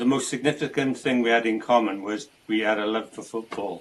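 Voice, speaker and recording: Speaking at a fairly quick pace, a man talks in a South Wales accent. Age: 60s. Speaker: amateur football goalkeeper with Parkinson's. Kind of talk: interview. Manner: halting.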